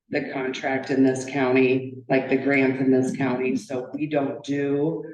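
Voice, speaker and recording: A woman's very deep, low voice, flat and monotone at a fairly slow pace, with noticeable background noise and audible room echo. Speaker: victim advocate. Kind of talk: public presentation. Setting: county board meeting at podium. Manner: loud; halting.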